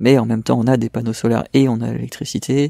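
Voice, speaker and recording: His words come out very fast. The sound is dry and close to the mic, without any echo. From France, Essonne near Paris. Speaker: environmental activist. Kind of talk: interview.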